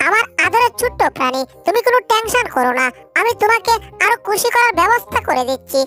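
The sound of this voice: A woman does a squeaky, cartoonish character voice at an extremely high pitch, with very wide pitch swings. Clear music plays in the background. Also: moderate pace.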